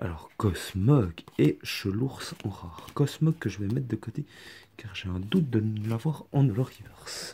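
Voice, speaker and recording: Putting on a hoarse character voice, a man speaks at medium pitch and a moderate pace, with big swings in loudness. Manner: apologetic.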